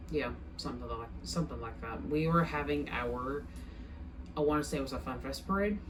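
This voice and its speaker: Fairly quick speech from a woman, with audible room echo. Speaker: vlogger sharing personal experience. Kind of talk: personal testimony. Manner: stuttering, halting.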